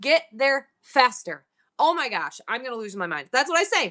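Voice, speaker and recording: A woman with an American accent has a high, bright, sharp voice, and her pitch swings very widely. She speaks at a moderate pace against a quiet background. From New York.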